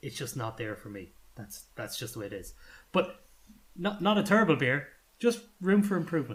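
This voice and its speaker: In an Irish accent, a man speaks at a fairly quick pace, somewhat breathy, with lively intonation. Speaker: podcast co-host reviewing beers. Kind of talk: casual chat.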